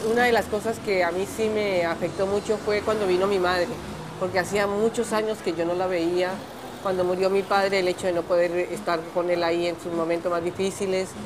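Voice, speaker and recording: A woman's medium-pitched, fairly quick, monotone and flat delivery against noticeable background noise. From Colombia. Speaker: exile immigrant. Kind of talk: documentary interview testimony.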